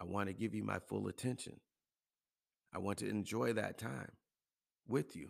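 A man's fairly low voice with vocal fry, lively intonation, a moderate pace, and long, frequent pauses. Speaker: podcast host and health and wellness coach. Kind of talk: solo motivational monologue.

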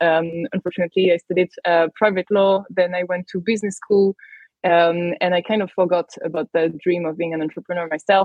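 A woman with a French accent, fairly low in pitch, at a fairly quick pace in monotone, flat intonation. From France, Paris. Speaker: tech company manager. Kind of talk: podcast interview.

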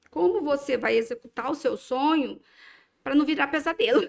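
The pitch of this woman's voice is high. She talks at a fairly quick pace. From Brazil, Minas Gerais. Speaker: dermatologist. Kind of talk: casual interview.

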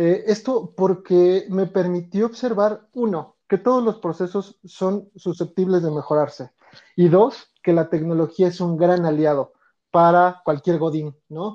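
A man's high-pitched voice with a Mexico City accent, dark and mellow in tone, ordinary pitch variation, a fairly slow pace and a quiet background. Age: 30s. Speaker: organizational development consultant. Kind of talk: interview. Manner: hesitant, many fillers.

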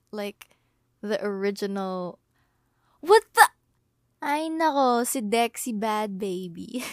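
A woman speaks very slowly at a fairly high pitch, leaving long, frequent pauses. Her intonation is lively and her loudness swings widely, in a very clean, dry, close recording with no echo and a silent background. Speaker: podcast host. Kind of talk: casual monologue. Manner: rambling with many fillers and hesitations.

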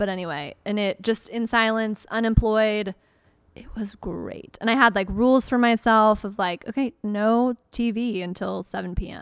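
Speaking fairly slowly in an American accent, a woman with a fairly high pitch shows big swings in loudness. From US South, Atlanta area (Marietta). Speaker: podcast guest. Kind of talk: casual chat. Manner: animated.

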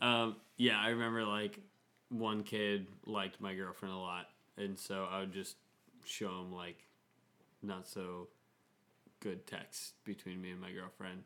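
Delivery is monotone, with flat intonation at a fairly slow pace. Long, frequent pauses break it up. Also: man, fairly low pitch for a man. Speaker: housemate podcast host. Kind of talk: casual chat. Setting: home dining room.

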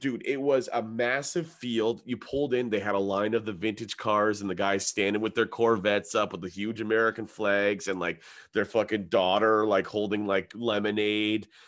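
In a normal speaking voice, a man talks at a moderate pace and fairly low pitch with fairly even intonation and hardly any pauses against a quiet background. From Ontario, Canada (Hamilton). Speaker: comedian. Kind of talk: casual chat.

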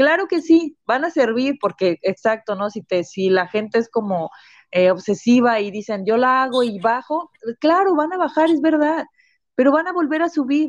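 Moderately paced, a woman speaks in a high pitch. Her pitch swings very widely. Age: 30s. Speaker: nutritionist. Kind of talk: interview.

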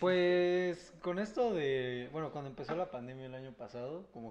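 A man with a plain, everyday voice, a fairly quick pace and ordinary pitch variation. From Comitán, Chiapas, Mexico. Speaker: podcast guest, student. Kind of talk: casual chat.

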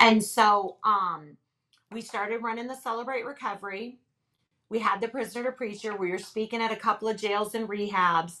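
A woman with an unremarkable speaking voice talks at a moderate pace in a fairly high pitch, keeping her intonation fairly even. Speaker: ministry leader and author. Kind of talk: personal testimony in interview.

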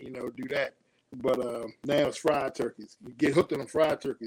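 A man with an American accent speaks in a normal speaking voice. His pitch is fairly high and his pace fairly quick. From Washington, D.C. area (Suitland, Maryland). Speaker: comic book publisher and writer. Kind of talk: casual interview chat.

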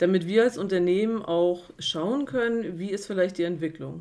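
An ordinary speaking voice with ordinary pitch variation at a fairly quick pace. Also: woman. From Mecklenburg-Vorpommern, Güstrow. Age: 30s. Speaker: HR officer and apprenticeship trainer. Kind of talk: interview.

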